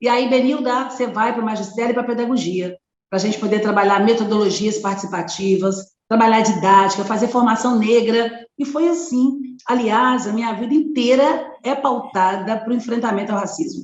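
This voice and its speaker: A woman with an unremarkable speaking voice, fairly high in pitch, with ordinary variation and a moderate pace. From Brazil, Belo Horizonte, Minas Gerais. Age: 50s. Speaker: activist and educator. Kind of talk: interview.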